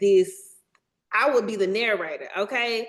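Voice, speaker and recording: Here is a woman with a Southern US accent. Her pitch is fairly high. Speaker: documentary filmmaker. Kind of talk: workshop presentation. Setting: video call webinar. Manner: casual, animated.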